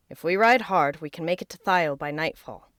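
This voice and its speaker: A woman puts on a character voice, fairly low in pitch and fairly quick, with big swings in loudness and a dry, close sound free of echo. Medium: read story. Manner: steady, reassuring.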